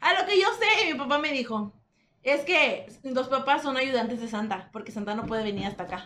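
In a raised, projected voice, a woman with a high pitch speaks at a moderate pace with very wide pitch swings. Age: young. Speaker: podcast co-host. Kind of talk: casual chat.

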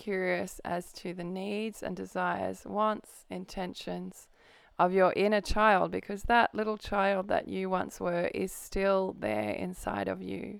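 On a very clean recording with total background silence, a woman speaks fairly slowly. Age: 40s. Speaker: podcast host. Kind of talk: sales pitch; solo talk on personal growth. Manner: hesitant with fillers.

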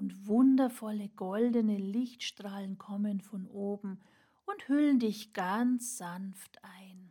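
In a calm, soothing, dark and mellow tone, a woman speaks very slowly at a medium pitch, somewhat breathy, with fairly even intonation and big swings in loudness. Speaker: burnout mentor and podcast host. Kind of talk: guided meditation. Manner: slow, calm, soothing; gentle, warm, with long pauses.

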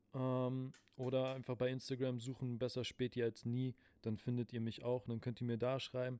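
A man speaks at a medium pitch and a moderate pace. His tone is dark and mellow, with monotone, flat intonation. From Berlin (Spandau). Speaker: podcast host. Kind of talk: casual chat. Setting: recorded live in a late-night shop.

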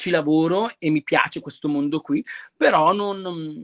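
The sound is dry and close with no echo. A man speaks at a moderate pace with ordinary pitch variation. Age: 20s. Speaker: drag performer. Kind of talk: casual chat.

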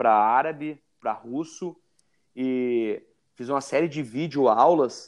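A man's medium-pitched voice with ordinary pitch variation against a quiet background. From Brazil, Rio Grande do Sul. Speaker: jiu-jitsu referee and teacher. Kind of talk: interview.

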